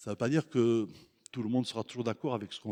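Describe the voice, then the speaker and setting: Speaking at a very fast pace in a southern French accent, a man has a medium pitch and a dark, mellow tone. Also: dry, close sound with no echo. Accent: Mediterranean (southern French). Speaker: guest preacher. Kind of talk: sermon. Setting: church. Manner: hesitant repetitions.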